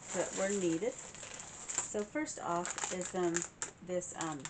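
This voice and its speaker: Noticeable noise sits in the background. Over it, a woman talks. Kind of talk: casual vlog chat. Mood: warm and cheerful. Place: home room. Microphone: camera far.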